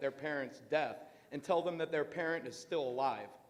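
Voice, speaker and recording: The man's voice sits at a fairly high pitch. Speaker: parent speaking at public comment. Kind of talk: public comment at school board meeting. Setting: school board meeting, speaking at a microphone. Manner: loud.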